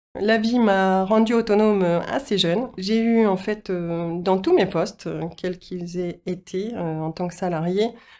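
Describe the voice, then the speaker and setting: A woman's medium-pitched voice, dark and mellow, with fairly even intonation, a fairly slow pace, hardly any pauses and a quiet background. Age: 40s. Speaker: business founder and training consultant. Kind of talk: interview monologue. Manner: hesitant, many filler sounds.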